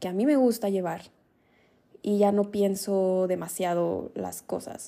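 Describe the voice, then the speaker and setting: The voice has a dark, mellow tone and monotone, flat intonation, moving at a fairly slow pace. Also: woman. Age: 20s. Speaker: podcast host. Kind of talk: solo podcast monologue. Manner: casual, conversational.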